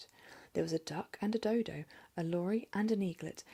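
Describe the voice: The recording is plain reading aloud. Its pitch variation is ordinary.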